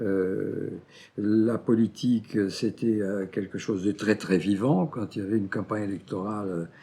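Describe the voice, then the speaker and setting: A man with a fairly low pitch talks at a very slow pace. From Brazil. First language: Portuguese (speaking French). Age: 70s. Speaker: historian. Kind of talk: interview testimony. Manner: halting, many hesitations.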